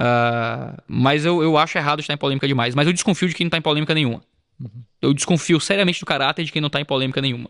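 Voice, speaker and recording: Very fast speech comes through on a very clean recording with a silent background. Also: man, fairly high pitch for a man, ordinary pitch variation. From Brazil, Ceará. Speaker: pastor and YouTuber. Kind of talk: casual chat. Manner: low-key, subdued delivery.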